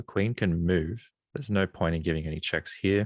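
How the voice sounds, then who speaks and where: The speaker has an Australian accent and ordinary pitch variation. The sound is dry and close, with no echo. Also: man, very clean recording, silent background. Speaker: chess streamer. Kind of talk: live commentary while solving chess puzzles. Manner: thinking aloud, casual.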